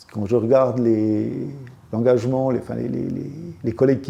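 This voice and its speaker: A man's dark, mellow tone at medium pitch and a moderate pace. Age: 70s. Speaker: trade union activist. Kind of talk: interview. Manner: halting, many repetitions and hesitations.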